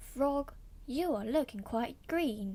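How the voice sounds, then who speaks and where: A woman performs a put-on character voice pitched high. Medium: read story.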